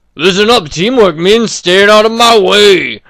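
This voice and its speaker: A man speaks at a moderate pace in a put-on character voice, high-pitched, with ordinary pitch variation. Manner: goofy.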